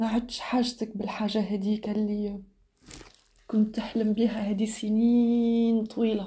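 Speaking with an Algerian accent, a woman talks at a fairly slow pace in a fairly high pitch with monotone, flat intonation and very even loudness. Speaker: podcaster. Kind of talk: reflective monologue. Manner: halting.

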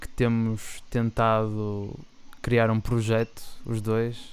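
A man speaks at a medium pitch. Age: 20s. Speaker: podcast co-host, medical student. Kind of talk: casual chat.

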